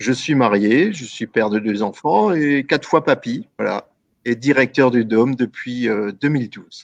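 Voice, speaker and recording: In a dry, close recording with no echo, a man at medium pitch talks fairly slowly with ordinary pitch variation and big swings in loudness. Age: 60s. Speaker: venue director. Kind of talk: interview. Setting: live online broadcast. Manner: halting.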